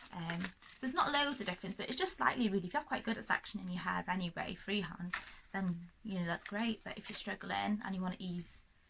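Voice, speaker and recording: Very fast speech amid noticeable background noise. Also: woman, medium pitch for a woman, ordinary pitch variation. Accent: North Welsh. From North Wales. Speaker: hairdresser. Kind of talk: casual talk to camera.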